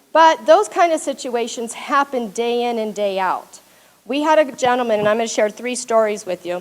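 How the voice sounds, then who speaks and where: Loud speech with lively intonation at a moderate pace. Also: woman, high pitch for a woman. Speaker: paralegal. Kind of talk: presentation to audience.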